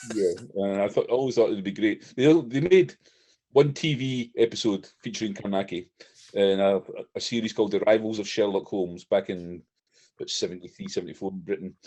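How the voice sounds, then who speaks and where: In a Scottish accent, a man talks at a fairly quick pace with ordinary pitch variation. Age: 60s. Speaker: horror author. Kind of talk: interview.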